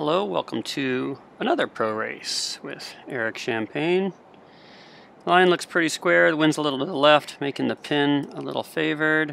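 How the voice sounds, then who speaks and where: Here a man has an unremarkable speaking voice, pitched fairly high. He talks at a moderate pace with lively intonation. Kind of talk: live sailing race commentary. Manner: calm, analytical, steady; explanatory, thinking aloud mid-race.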